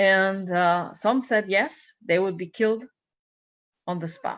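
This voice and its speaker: A woman speaks with a Hungarian accent. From Hungary. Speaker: minister. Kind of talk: sermon. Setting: church service. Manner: animated storytelling.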